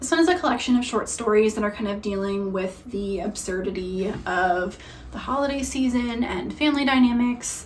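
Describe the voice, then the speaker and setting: A woman speaks at a moderate pace with a fairly high pitch and lively intonation. Audible room echo and noticeable background noise are present. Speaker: book reviewer. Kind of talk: casual book recommendation monologue. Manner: casual with frequent fillers.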